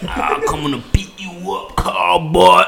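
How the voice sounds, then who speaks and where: A man's raspy, put-on character voice at a fairly slow pace, with clear background noise. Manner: threatening.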